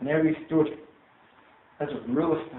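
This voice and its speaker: A man with fairly high pitch keeps a moderate pace as noticeable background noise carries on. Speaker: Toastmasters club speaker. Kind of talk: storytelling speech to a live audience.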